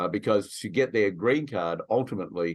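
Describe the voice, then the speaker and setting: A man's fairly quick pace stands out over a quiet background. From Australia. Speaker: immigration attorney. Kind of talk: webinar discussion.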